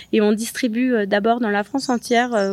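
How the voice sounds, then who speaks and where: This woman speaks with fairly even intonation. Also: dry, close sound with no echo. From Provence, Luberon. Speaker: Michelin-starred chef. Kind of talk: interview. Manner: hesitant, many fillers.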